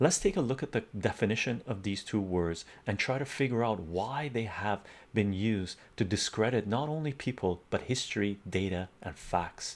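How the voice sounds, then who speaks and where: Soft-spoken and fairly low-pitched, a man talks at a moderate pace with ordinary pitch variation on a very clean recording with a silent background. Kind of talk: reading own article aloud.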